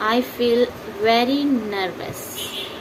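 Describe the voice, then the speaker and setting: Amid audible room echo, a woman with a non-native accent speaks at a fairly high pitch with lively intonation. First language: not English. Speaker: English teacher. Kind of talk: tutorial. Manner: halting.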